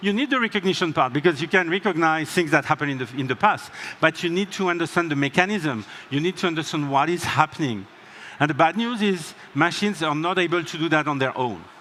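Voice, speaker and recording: Noticeable background noise sits under a man's voice. He speaks at a very fast pace and fairly high pitch, with ordinary pitch variation. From France. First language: French. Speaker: tech company co-founder, keynote speaker. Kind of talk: conference keynote.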